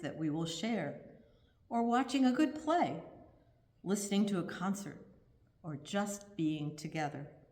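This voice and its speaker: The woman's medium-pitched voice carries audible room echo. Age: 70s. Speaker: congregation member giving a reflection. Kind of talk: prepared reflection read aloud in a service. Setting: virtual church service from home.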